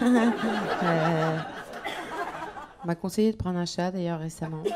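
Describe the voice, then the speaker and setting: Noticeable background noise behind a woman at a fairly slow pace. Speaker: stand-up comedian. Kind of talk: stand-up comedy routine.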